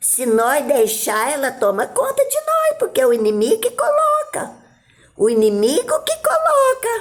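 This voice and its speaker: This woman's pitch swings very widely. She talks fairly slowly. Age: 70s. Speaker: missionary preacher. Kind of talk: sermon.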